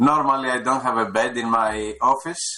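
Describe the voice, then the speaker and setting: A man with a Greek accent speaks at a fairly slow pace. His tone is bright and sharp, at a medium pitch. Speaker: government official. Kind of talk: formal opening remarks. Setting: video conference from home. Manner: halting, many fillers.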